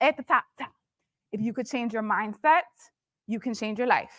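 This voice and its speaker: The speaker has a Philadelphia accent, an animated tone and ordinary pitch variation. The sound is dry and close, with no echo. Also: woman. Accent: Philadelphia American English. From Philadelphia, US. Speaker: motivational speaker and entrepreneur. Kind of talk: motivational talk.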